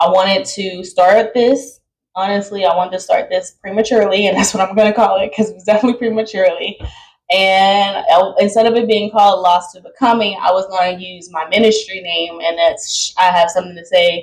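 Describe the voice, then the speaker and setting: Fairly quick and medium in pitch, a woman's plain, everyday voice carries fairly even intonation and big swings in loudness. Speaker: podcast host. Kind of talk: casual monologue.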